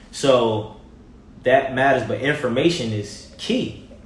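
Speaking with an American accent at a medium pitch, a man is heard through audible room echo and noticeable background noise. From Baltimore, Maryland. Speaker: TV personality and motivator. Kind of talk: casual interview chat. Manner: animated.

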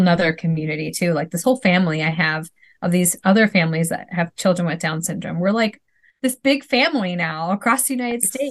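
With a Wisconsin accent, a woman talks at a very fast pace in a somewhat breathy voice with medium pitch and ordinary pitch variation. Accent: Wisconsin Midwestern. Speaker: mom and former teacher. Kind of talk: casual interview.

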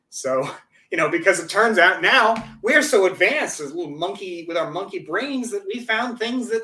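A man's raised, projected voice, high-pitched with a bright, sharp tone and very wide pitch swings. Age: 30s. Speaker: attorney and political commentator. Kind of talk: casual chat.

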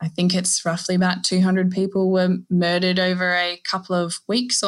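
A woman with an Australian accent speaks at a moderate pace in a bright, sharp tone of medium pitch. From Australia, Northern Territory. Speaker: maritime archaeologist. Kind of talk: interview. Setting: video call.

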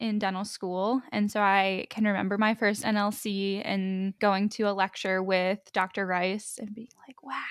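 In a very clean recording with a silent background, a woman with a plain, everyday voice speaks fairly slowly at a medium pitch. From Pittsburgh, Pennsylvania. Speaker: dental resident. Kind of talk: interview.

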